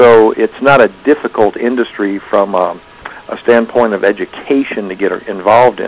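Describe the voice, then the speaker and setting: A man's plain, everyday voice, medium in pitch, with fairly even intonation at a moderate pace. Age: 60s. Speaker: factoring business owner and trainer. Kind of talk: seminar talk. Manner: conversational with fillers.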